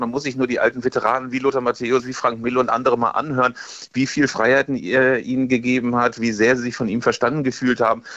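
In an ordinary speaking voice, a man talks at a fairly quick pace with a medium pitch. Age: 50s. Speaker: football magazine editor. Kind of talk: radio interview.

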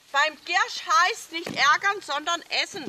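Over noticeable background noise, a raised, projected voice carries lively intonation. The sound is dry and close with no echo, and the pace is fairly slow. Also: woman. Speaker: herb guide. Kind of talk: guided herb walk talk. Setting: outdoors.

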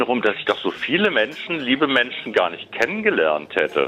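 A man with a Berlin accent over music in the background. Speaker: caller. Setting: phone call.

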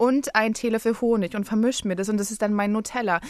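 With an ordinary speaking voice, a woman talks at a fairly high pitch with fairly even intonation against a quiet background. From Berlin, Germany. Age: 20s. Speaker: playwright. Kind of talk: casual chat. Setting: radio studio.

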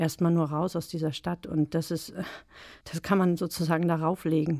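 In a very clean recording with a silent background, a woman speaks in a plain, everyday voice at a fairly low pitch, with fairly even intonation. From eastern Germany, Brandenburg. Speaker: novelist. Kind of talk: interview and reading aloud. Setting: radio studio.

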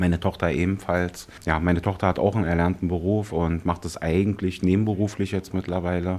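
A man with a very deep, low pitch speaks in a monotone, flat way. He goes at a fairly quick pace with hardly any pauses. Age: 50s. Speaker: talent agency manager and photographer. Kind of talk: on-location interview. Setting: outdoors in a forest.

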